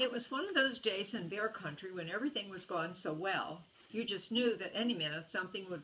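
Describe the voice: Lively intonation in plain reading aloud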